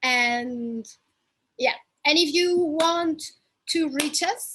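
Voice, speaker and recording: Speaking with a strong Spanish accent, a woman talks at a high pitch. Her pitch varies in an ordinary way. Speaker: fashion content creator. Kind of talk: casual chat.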